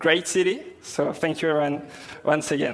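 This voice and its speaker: A man talks with a strong French accent at a moderate pace. His pitch is fairly high and his intonation fairly even. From France. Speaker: software developer, conference speaker. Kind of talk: tech conference talk. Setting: stage with audience. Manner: hesitant, many fillers.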